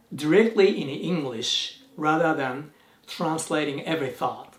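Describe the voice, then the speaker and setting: A high-pitched man with a Japanese accent, lively intonation and a very slow pace, amid noticeable background noise. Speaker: YouTuber, language learner. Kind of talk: vlog talk to camera.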